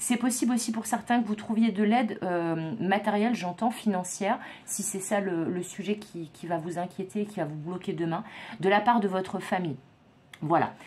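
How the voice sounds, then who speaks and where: This woman speaks at a moderate pace with a somewhat breathy voice, medium pitch, and ordinary pitch variation. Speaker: psychic tarot reader. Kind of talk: tarot reading monologue. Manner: stumbling, hesitant fillers.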